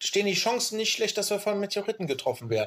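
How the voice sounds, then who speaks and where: Speaking in a high voice, a man uses lively intonation. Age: 30s. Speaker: podcast host. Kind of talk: casual chat.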